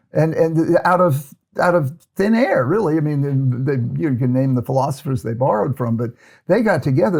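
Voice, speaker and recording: With an American accent, a man speaks at a moderate pace in a somewhat breathy voice with lively intonation, on a very clean recording with a silent background. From United States. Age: 70s. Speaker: psychiatrist and ADHD expert. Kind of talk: interview conversation. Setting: podcast recording in London. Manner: halting, many repetitions.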